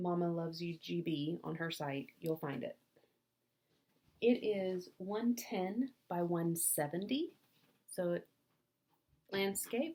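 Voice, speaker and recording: A woman with an American accent speaks very slowly, leaving long, frequent pauses. Her pitch sits fairly low and varies in an ordinary way. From US South, North Alabama. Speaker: craft vlogger. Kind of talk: casual chat.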